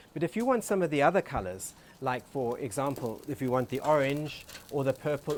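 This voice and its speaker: Over noticeable background noise, a man with an American accent speaks at a moderate pace in a fairly high pitch with lively intonation. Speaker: co-host, floral designer and home gardener. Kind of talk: casual cooking show chat. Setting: outdoors in a backyard garden.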